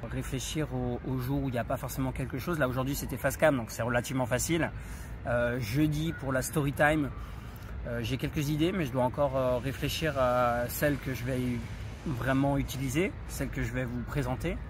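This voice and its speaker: Audible room echo surrounds the voice. A man is speaking at a moderate pace. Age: 30s. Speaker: vlogger. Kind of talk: casual chat. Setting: outdoors. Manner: halting.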